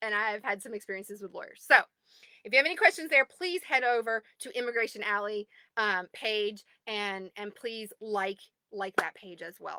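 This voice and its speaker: A woman's fairly high, bright and sharp voice in a Southern US accent, with lively intonation, big swings in loudness and a dry, close sound with no echo. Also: moderate pace. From US South. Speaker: advocacy group admin. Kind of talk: livestream address to group members. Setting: recording in a closet at home. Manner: animated.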